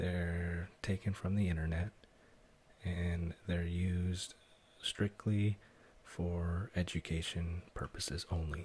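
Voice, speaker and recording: Soft-spoken, somewhat breathy delivery with a calm tone, a very slow pace and monotone, flat intonation. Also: man, very deep, low pitch for a man. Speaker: ASMR content creator. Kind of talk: ASMR coding tutorial, soft-spoken narration. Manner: soft-spoken, calm.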